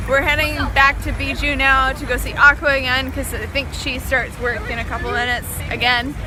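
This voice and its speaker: Over crowd noise and audible room echo, a woman with an American accent talks at a fairly quick pace with hardly any pauses. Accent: American, still mostly kept. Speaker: vlogger. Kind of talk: casual vlog chat. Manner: carefully enunciating.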